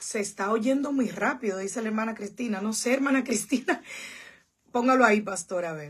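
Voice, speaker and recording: A woman's fairly high, somewhat breathy, animated voice at a fairly quick pace, with ordinary pitch variation and a quiet background. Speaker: pastor. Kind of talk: livestream Bible study. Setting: church livestream.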